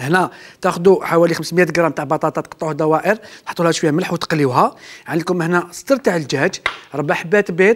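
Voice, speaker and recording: A man with a high pitch speaks at a fairly quick pace with ordinary pitch variation. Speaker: TV chef host. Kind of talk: cooking show tutorial. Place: studio.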